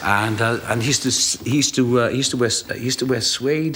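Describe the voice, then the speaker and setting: Over noticeable background noise, a man with a Welsh accent speaks fairly quickly at a medium pitch. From South Wales. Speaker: actor. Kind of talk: interview answer. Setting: TV studio.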